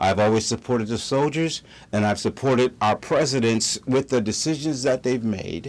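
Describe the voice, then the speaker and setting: On a very clean recording with a silent background, a man speaks at a medium pitch and a moderate pace. His loudness is very even, with ordinary pitch variation. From United States. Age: 60s. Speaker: political commentator. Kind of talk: opinion monologue. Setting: studio. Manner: halting.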